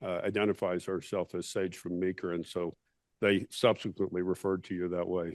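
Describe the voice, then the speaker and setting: A man with an American accent at a moderate pace, dry and close with no echo, over a quiet background. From US South. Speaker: policy program leader introducing speakers. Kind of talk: event introduction. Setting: roundtable event with audience. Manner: halting, many fillers.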